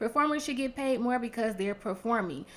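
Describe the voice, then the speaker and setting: Her pitch shows ordinary variation. The voice belongs to a woman. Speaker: YouTube reality TV reviewer. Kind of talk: casual commentary review. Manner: calmer, lower energy than usual.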